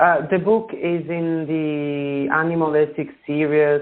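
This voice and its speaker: Speaking at a very slow pace, a man with a fairly high pitch talks in an Italian accent. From Italy. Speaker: author. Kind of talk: interview. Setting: radio show. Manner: halting.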